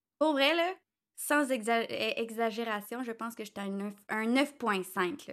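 A woman speaks at a very slow pace in a fairly high voice with ordinary pitch variation. Her loudness swings a lot. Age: 30s. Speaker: social media manager and intuitive astrologer. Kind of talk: interview.

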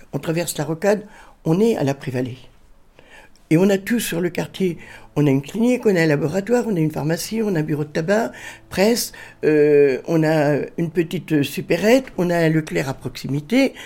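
A woman with a dark, mellow tone speaks with long, frequent pauses. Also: fairly low pitch for a woman, moderate pace. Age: 80s+. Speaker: neighbourhood elder and community activist. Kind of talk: interview.

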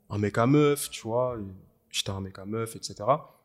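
Speaking at a very slow pace, a man is heard. The recording is very clean, and the background is silent. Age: 20s. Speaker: videographer and filmmaker. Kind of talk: casual interview. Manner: casual, hesitant with fillers.

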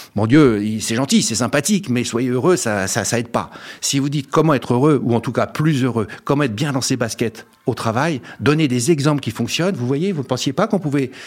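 Medium pitch and a moderate pace from a man, an ordinary speaking voice with ordinary pitch variation. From France, Paris. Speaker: motivational speaker and author. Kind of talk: radio interview.

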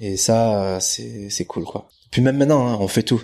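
A man talks at a moderate pace. The recording is very clean, and the background is silent. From French Basque Country, Bidart. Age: 30s. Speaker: real estate agent, former pro surfer. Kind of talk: interview. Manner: hesitant, many repetitions.

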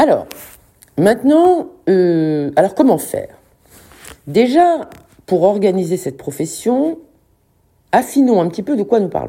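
A woman's medium-pitched, dark, mellow voice at a very slow pace, with very wide pitch swings and long, frequent pauses. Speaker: podcast host, criminologist. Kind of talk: solo commentary podcast. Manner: enthusiastic, persuasive; hesitant, many fillers.

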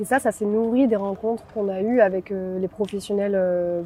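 With an ordinary speaking voice, a woman talks at a moderate pace and a medium pitch. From Marseille, southern France. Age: 20s. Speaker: founder of a social association. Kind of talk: interview. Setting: filmed on location.

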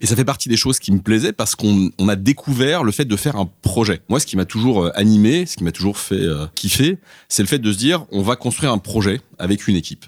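On a very clean recording with a silent background and a dry, close sound with no echo, a man with an ordinary speaking voice talks at a fairly quick pace, with lively intonation and a fairly low pitch. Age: 40s. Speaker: company CEO. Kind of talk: interview. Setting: in person at guest's office.

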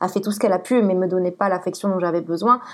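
The background stays quiet. A woman talks with fairly even intonation. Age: 30s. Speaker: blogger and photographer. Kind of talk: interview about personal life. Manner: halting, many repetitions and hesitations.

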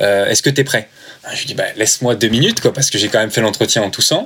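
A man rattles off his words very fast, with noticeable background noise in the recording. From Normandy, France. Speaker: airsoft brand marketing manager. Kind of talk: casual interview.

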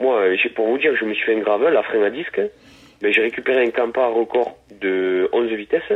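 Noticeable background noise surrounds this man's voice. He speaks at a medium pitch and a moderate pace. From southwest France. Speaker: woodworker and bicycle frame builder. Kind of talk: interview. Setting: phone call.

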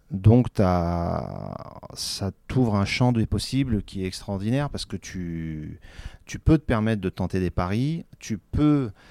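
Very slow in pace, a man speaks at a fairly low pitch with a dark, mellow tone. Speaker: sports journalist. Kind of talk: interview. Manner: halting.

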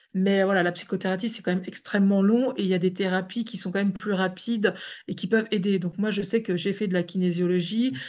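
Talking at a fairly quick pace, a woman has an unremarkable speaking voice of medium pitch and fairly even intonation. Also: quiet background. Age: 40s. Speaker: domestic violence survivor and advocate. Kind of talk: testimony.

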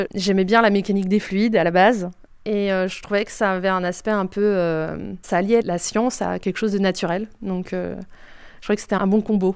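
The woman has a medium pitch and a moderate pace. Her intonation is monotone and flat. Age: 30s. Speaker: hydraulic engineer. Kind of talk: interview.

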